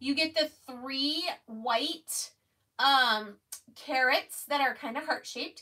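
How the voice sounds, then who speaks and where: A woman with a raised, projected voice and a bright, sharp tone speaks at a very slow pace with ordinary pitch variation. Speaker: craft livestream host. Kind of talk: casual livestream chat and product demo. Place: home room. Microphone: phone near.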